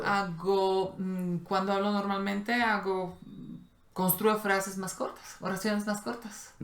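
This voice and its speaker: A woman speaks at a very slow pace in a medium pitch. Her intonation is monotone and flat. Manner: slow and careful.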